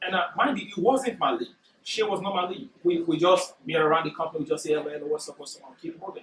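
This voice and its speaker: A man's lively intonation with a non-native accent. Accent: foreign. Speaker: workshop speaker. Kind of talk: motivational talk. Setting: corporate workshop room. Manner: naturally fast speaker.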